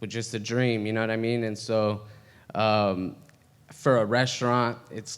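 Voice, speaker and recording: In a room with audible echo, a man with a medium-pitched voice speaks slowly in a flat monotone, keeping to a fairly slow pace. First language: Spanish. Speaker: restaurant owner. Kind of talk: casual chat. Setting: stage with audience.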